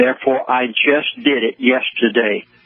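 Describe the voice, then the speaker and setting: A man is heard talking with noticeable background noise. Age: 70s. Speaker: pastor and conspiracy commentator. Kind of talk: radio interview. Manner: earnest, pleading.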